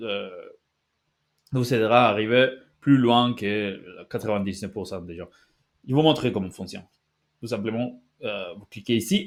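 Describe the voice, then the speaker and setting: A man with a non-native accent speaks at a moderate pace and a medium pitch, with ordinary pitch variation, big swings in loudness, and long, frequent pauses. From Basque Country, Spain. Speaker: language-learning youtuber. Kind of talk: tutorial. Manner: halting, many fillers and restarts.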